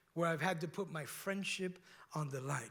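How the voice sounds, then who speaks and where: Animated tone in a strong Cuban accent. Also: man. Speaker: pastor. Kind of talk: sermon. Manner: conversational, animated.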